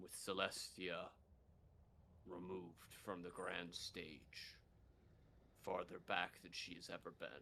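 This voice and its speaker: With clear background noise behind him, a man uses a put-on character voice in a solemn tone, moving at a fairly slow pace with long, frequent pauses. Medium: actual play. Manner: solemn, measured.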